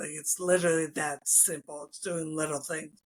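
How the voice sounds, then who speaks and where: Bright and sharp in tone, a man's fairly high voice stays monotone and flat. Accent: Philadelphia. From US, Philadelphia suburbs. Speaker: former strength and conditioning coach, trauma survivor. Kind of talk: interview.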